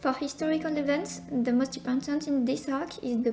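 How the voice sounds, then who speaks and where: Music plays in the background as a woman with a non-native accent talks fairly quickly in a high-pitched voice. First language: not English. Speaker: manga lore content creator. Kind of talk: casual explainer narration. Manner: somewhat flat delivery.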